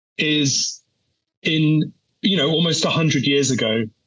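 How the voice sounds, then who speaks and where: This is a man speaking. He has a British accent. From UK. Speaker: energy policy analyst. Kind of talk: interview answer. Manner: hesitant, many fillers and repeats.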